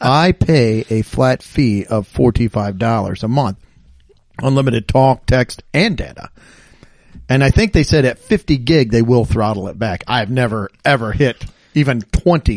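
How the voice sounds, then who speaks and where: This is a plain, everyday voice: a man at medium pitch, speaking at a fairly slow pace with ordinary pitch variation, recorded with a dry, close sound and no echo. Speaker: podcast co-host.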